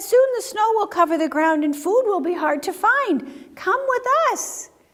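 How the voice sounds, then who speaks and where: Using a put-on character voice, a woman squeaks at an extremely high pitch, with very wide pitch swings and a moderate pace. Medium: read story.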